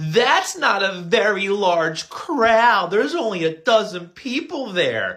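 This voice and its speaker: Someone does a put-on character voice at a fairly high pitch and a fairly slow pace. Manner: dismissive, mocking.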